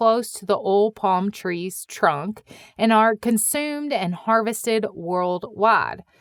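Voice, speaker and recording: In a Midwestern US accent, a woman with a fairly high pitch speaks at a very slow pace, the recording very clean with a silent background and a dry, close sound with no echo. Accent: Midwestern accent, noticeable on 'oil'. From US Midwest. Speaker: podcast host. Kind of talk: scripted podcast narration.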